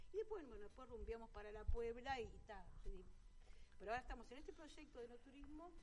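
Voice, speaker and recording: A woman talks fast with hardly any pauses, her high pitch making very wide swings and her loudness rising and falling sharply. Audible room echo surrounds her. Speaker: winery director. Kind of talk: radio interview. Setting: restaurant, live broadcast.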